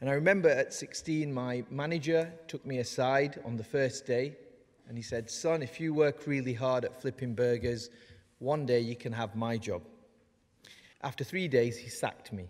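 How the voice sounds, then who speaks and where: A man at a moderate pace, with ordinary pitch variation, over a quiet background. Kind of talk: ceremonial speech. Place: hall. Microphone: podium.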